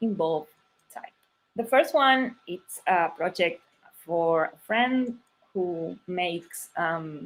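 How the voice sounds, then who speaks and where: A woman with a Spanish accent, very slow pace and lively intonation. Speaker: type designer. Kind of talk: conference talk. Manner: halting.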